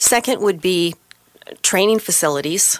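At a moderate pace and with ordinary pitch variation, a woman talks in an unremarkable speaking voice. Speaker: banking executive guest. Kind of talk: interview discussion. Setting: radio studio.

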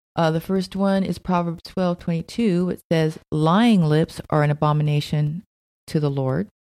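With an ordinary speaking voice, a woman talks at a moderate pace with ordinary pitch variation in a dry, close sound with no echo. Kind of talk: radio dj patter: short agreeing quips and banter with co-host.

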